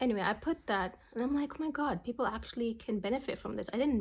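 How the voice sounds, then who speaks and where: Speaking at a fairly quick pace, a woman talks with a non-native accent. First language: not English. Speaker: memoir writer and vlogger. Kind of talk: personal vlog monologue. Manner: casual, halting with fillers and restarts.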